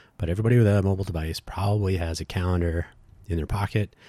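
On a very clean recording with a silent background, a man talks at a very fast pace in a somewhat breathy voice with ordinary pitch variation. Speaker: podcast host, tech project organizer. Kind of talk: solo podcast monologue. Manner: halting, with fillers.

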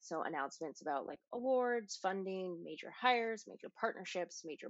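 A woman uses a normal speaking voice at a moderate pace, with a medium pitch and ordinary pitch variation. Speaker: podcast host and marketing coach. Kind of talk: educational podcast talk, casual.

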